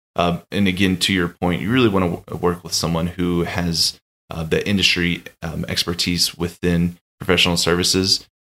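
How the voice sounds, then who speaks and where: Monotone and flat, a man with a very deep, low pitch speaks at a moderate pace in an American accent. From Texas, Austin. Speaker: M&A consultant. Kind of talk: interview. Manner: halting, many fillers.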